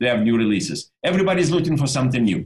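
A man speaks in a somewhat breathy voice. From Germany. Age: old. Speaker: optical lab owner. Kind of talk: webinar discussion. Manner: halting.

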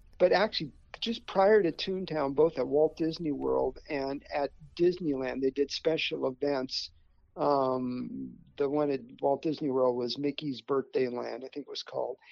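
Speaking in an unremarkable speaking voice with an American accent, a man keeps a moderate pace at a fairly high pitch with ordinary pitch variation. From US West Coast, Burbank, California. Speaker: former animator and theme park designer. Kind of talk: interview.

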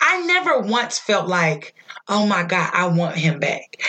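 The pitch swings very widely. The pace is moderate. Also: woman. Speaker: podcast co-host. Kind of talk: casual chat. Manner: loud.

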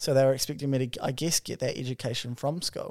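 A man with a New Zealand accent, fairly high pitch, ordinary pitch variation, and a very clean recording with a silent background. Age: 20s. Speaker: podcast co-host. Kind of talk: casual chat. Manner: animated.

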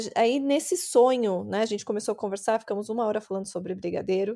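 A woman's fairly high voice with a dark, mellow tone in a very clean recording with a silent background. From Brazil, interior of São Paulo state. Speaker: entrepreneur, brigadeiro business owner. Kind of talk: interview.

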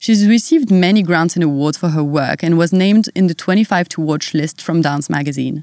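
A fairly quick pace and a French accent with ordinary pitch variation, on a very clean recording with a silent background. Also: woman. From France. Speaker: podcast host. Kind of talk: interview conversation.

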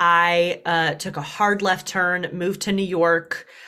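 Very slow, bright, sharp-toned woman's voice with a slight Southern US accent, on a very clean recording with a silent background. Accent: Southern US, slight twang. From US Deep South. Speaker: dating coach.

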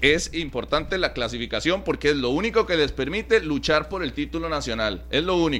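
There are hardly any pauses as a man talks. His pace is fairly quick. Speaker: sports radio co-host. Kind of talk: sports talk radio.

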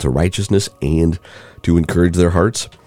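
This man speaks with a very deep, low pitch, a dark, mellow and warm tone, and vocal fry. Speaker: bible podcast host. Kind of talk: devotional bible reading and teaching. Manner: warm, conversational.

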